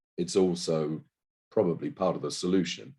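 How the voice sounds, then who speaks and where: A man speaks with a British accent. His voice is very deep and low, with a dark, mellow tone. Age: 60s. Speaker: panellist at healthcare climate webinar. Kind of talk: panel discussion. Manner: halting.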